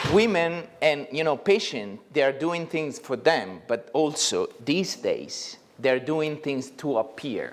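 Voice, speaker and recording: Speaking very slowly with lively intonation, a man with a fairly high pitch talks in a Neapolitan accent. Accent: Italian (Neapolitan). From Italy, Naples. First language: Italian. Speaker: plastic surgeon. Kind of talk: lecture. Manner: halting.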